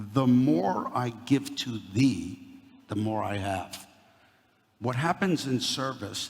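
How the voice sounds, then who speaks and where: Somewhat breathy delivery in a New York accent, with lively intonation. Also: man. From Brooklyn, New York. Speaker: company CEO, guest speaker. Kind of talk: talk to a university audience. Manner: animated.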